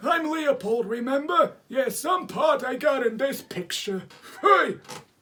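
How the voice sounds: A man in a put-on character voice, extremely high in pitch, at a fairly slow pace.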